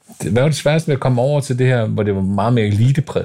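Speaking at a very fast pace, a man with a medium pitch and a dark, mellow tone sounds somewhat breathy, his intonation lively. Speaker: podcast host. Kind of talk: casual interview.

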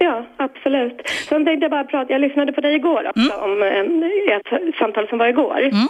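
A high-pitched woman's voice at a fairly quick pace, with noticeable background noise. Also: ordinary pitch variation. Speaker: caller. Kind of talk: casual chat.

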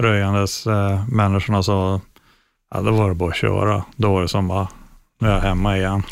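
A man's fairly low-pitched, monotone delivery at a moderate pace, with flat intonation, very even loudness, and a very clean recording over a silent background. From northern Sweden, Luleå. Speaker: metal band guitarist. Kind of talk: interview.

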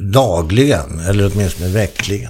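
A man with a fairly low pitch talks at a fairly slow pace with lively intonation and a somewhat breathy voice. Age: 70s. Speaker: podcast host. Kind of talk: casual chat.

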